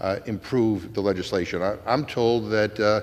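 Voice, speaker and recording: Here a man speaks with a Massachusetts accent. His pitch is fairly low. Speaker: congressman. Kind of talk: floor debate speech. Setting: legislative chamber. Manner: halting, many fillers.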